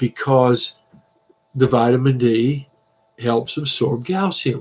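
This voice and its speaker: Somewhat breathy and medium in pitch, a man talks at a very slow pace with ordinary pitch variation. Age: 70s. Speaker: biology instructor. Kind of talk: lecture. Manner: halting.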